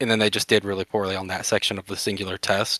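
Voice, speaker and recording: In a very clean recording with a silent background, a man's voice is heard. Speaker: workshop instructor for a live-action roleplay group. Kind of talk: lecture with questions from attendees. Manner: fast; unscripted, with hesitations.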